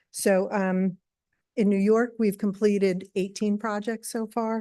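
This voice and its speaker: A soft-spoken woman at medium pitch, dark and mellow in tone, with fairly even intonation at a moderate pace. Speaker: renewable energy developer. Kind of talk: public meeting presentation. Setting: town board meeting.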